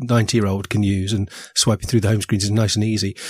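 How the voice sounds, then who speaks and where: Medium-pitched male voice in a very clean recording with a silent background and a dry, close sound with no echo. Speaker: podcast co-host.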